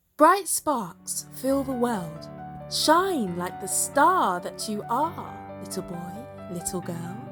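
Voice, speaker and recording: A woman talks at a very slow pace, and music can be heard in the background. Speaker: spoken word poet. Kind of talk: spoken word poetry reading. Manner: inspirational, uplifting.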